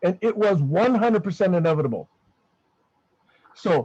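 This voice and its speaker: Pitch varying in an ordinary way, a man speaks at a moderate pace. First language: not English. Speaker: online discussion group member. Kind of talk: group discussion. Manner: emphatic.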